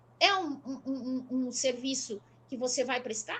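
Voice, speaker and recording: Speaking at a fairly slow pace, the woman has a high pitch. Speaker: traffic educator. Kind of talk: live panel discussion. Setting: live stream.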